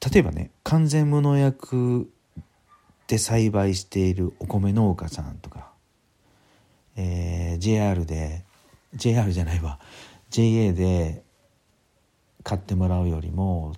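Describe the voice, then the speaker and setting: Speaking at a very slow pace with long, frequent pauses, a man with a very deep, low pitch and a dark, mellow tone uses lively intonation. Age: 50s. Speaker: podcaster and business consultant. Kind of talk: solo podcast talk. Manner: casual, filler-heavy.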